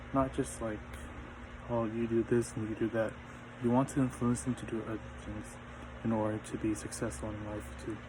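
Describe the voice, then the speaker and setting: Mumbling at a fairly quick pace with long, frequent pauses, a man with a medium pitch and a dark, mellow, somewhat breathy tone keeps his intonation monotone and flat. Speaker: student. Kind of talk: class presentation. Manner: stuttering, mumbling.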